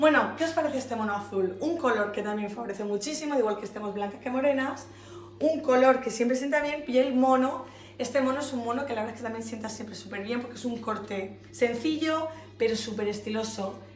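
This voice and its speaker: A woman talks fairly quickly in a high pitch with ordinary pitch variation and big swings in loudness. Music plays in the background, and the room echo is audible. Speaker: fashion boutique presenter. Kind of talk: product showcase. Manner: animated.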